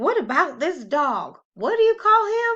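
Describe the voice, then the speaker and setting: Putting on a character voice, a woman talks at a moderate pace in an extremely high, squeaky voice that swings very widely in pitch. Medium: read story. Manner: warm, folksy.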